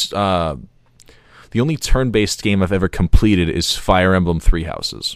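At a moderate pace, a man talks with lively intonation in an unremarkable speaking voice. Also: very clean recording, silent background. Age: 20s. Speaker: gaming podcast co-host. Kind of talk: casual chat.

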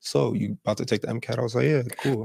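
Vocal fry marks this voice with an American accent, heard in a very clean, dry, close recording with no echo and a silent background. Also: man. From New Jersey. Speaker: medical student. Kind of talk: casual interview.

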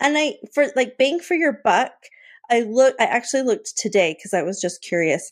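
A woman speaks at a high pitch with very wide swings, keeping a moderate pace. The recording is very clean, with a silent background. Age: 40s. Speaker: Disney fan and travel guest. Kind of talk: casual chat.

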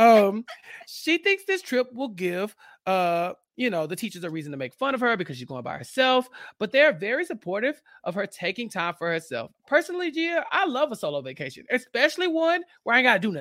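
Loud and fairly quick, a man's high-pitched voice leaps through very wide pitch swings with a bright, sharp tone, heard dry and close with no echo on a very clean recording over a silent background. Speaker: podcast recap host. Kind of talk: casual chat.

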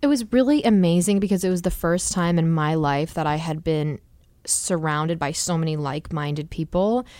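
Recorded very cleanly with a silent background, a woman with an American accent speaks fairly quickly at a fairly low pitch, with ordinary pitch variation and a dark, mellow tone. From New Jersey shore, US. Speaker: pop singer. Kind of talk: casual interview chat.

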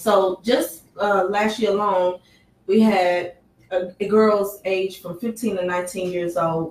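In an American accent, a woman speaks at a medium pitch with fairly even intonation. Her pace is fairly slow, in an unremarkable speaking voice. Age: 30s. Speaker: sex trafficking survivor and advocate. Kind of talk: radio interview. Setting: studio.

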